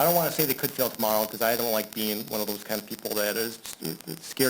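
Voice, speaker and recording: Here a man talks at a fairly quick pace and a medium pitch. His pitch variation is ordinary. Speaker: engineering consultant. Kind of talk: presentation at city work session. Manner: fast.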